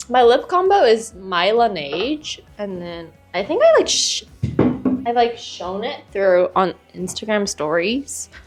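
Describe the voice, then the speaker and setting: Over background music, a woman with an American accent speaks at a fairly slow pace, fairly high in pitch, with very wide pitch swings and big swings in loudness. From United States. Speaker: podcast co-host. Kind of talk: casual chat. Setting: video podcast recording.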